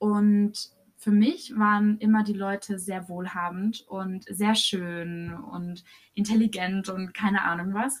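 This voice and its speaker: Speaking at a very slow pace, a woman's somewhat breathy, medium-pitched voice keeps a fairly even intonation. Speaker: podcast co-host. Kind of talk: casual chat.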